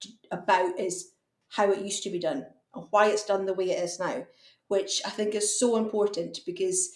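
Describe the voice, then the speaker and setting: A woman with a Hebridean accent speaks at a moderate pace. Her pitch is medium and her intonation fairly even. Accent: Hebridean Scottish. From Outer Hebrides, Scotland. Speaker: fencing contractor. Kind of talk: podcast interview.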